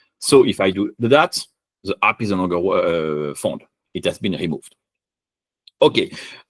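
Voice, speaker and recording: A man's voice, dry and close with no echo, comes with long, frequent pauses. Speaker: software engineer presenting a conference talk. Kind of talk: technical conference talk with live demo. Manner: fast.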